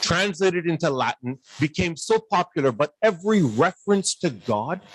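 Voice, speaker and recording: Heard in a dry, close sound with no echo, a man with a fairly high pitch speaks at a moderate pace with lively intonation. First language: not Urdu. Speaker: academic panelist. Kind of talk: panel discussion remarks. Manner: animated, rhetorical questioning.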